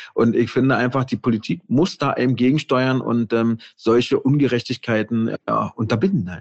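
Barely pausing, a man with a plain, everyday voice talks at a medium pitch with ordinary variation. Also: moderate pace. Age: 40s. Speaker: intensive care nurse and author. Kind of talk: casual interview.

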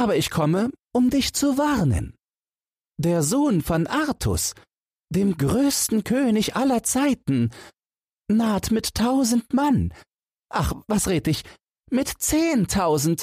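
In a very clean recording with a silent background, a man does a put-on character voice, high pitched and slow, slightly mellow with a slightly husky edge, and big pitch swings.

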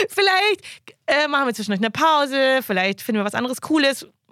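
Fairly quick and lively in intonation, a woman with a high pitch speaks in a dry, close sound with no echo. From western Germany (Wuppertal). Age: 30s. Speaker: investor and finance podcaster. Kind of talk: casual interview. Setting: studio.

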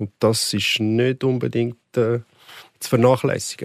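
The background is silent and the recording very clean. There's no echo, and the sound is dry and close. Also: man. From Switzerland, canton Aargau (Neuenhof near Baden). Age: 40s. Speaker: football coach. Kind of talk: podcast interview. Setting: studio.

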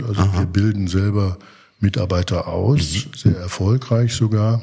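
Somewhat breathy, a man speaks at a moderate pace with a fairly low pitch and a dark, mellow tone. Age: 40s. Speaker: rail freight company executive. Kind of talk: casual interview. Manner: hesitant, many filler sounds.

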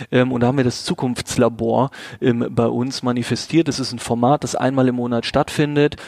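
A man speaks at a moderate pace in a medium pitch. His intonation is monotone and flat, and the sound is dry and close with no echo. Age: 30s. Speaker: agency managing director. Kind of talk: interview.

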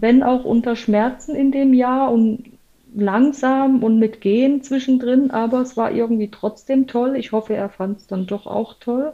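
A woman speaks at a fairly slow pace in a high pitch with a dark, mellow tone. Her intonation stays fairly even. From former East Germany. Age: 40s. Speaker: intensive care nurse and amateur triathlete. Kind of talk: casual interview.

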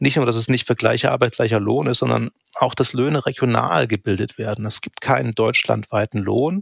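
A man's medium-pitched voice with vocal fry and ordinary pitch variation, at a fairly quick pace, dry and close with no echo. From eastern Germany, Saxony (near Leipzig). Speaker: economics professor. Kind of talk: interview.

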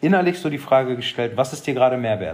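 Here is a man with a plain, everyday voice. He uses a medium pitch and lively intonation. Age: 30s. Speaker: travel content creator. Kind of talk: casual chat.

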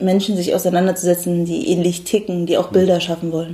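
A woman's dark, mellow voice at a medium pitch, with monotone, flat intonation. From Germany, Berlin. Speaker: painter. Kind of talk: interview.

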